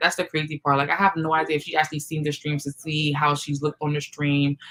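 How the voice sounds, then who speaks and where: A loud woman's voice, very deep and low in pitch, bright and sharp in tone, at a fairly quick pace. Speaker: YouTube livestream host. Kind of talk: casual livestream chat.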